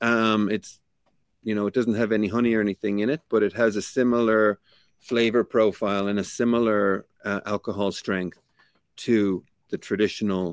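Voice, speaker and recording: A man's fairly low voice in a Limerick accent, monotone and flat at a moderate pace, dry and close with no echo on a very clean recording with a silent background. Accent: Irish (Limerick). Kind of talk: interview.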